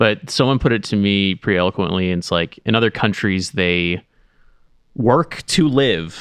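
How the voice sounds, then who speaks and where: Against a quiet background, a man with an unremarkable speaking voice and a fairly low pitch uses lively intonation at a moderate pace. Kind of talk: casual chat.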